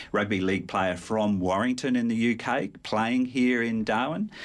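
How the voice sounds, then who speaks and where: At a moderate pace, a man speaks with an Australian accent. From South Australia. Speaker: sport historian. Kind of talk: radio interview. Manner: halting.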